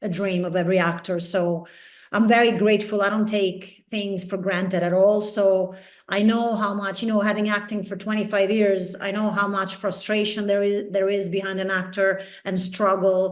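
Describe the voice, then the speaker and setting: A woman in an Italian accent, medium pitch, moderate pace and monotone, flat intonation, with audible room echo. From Italy. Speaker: actress. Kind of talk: interview.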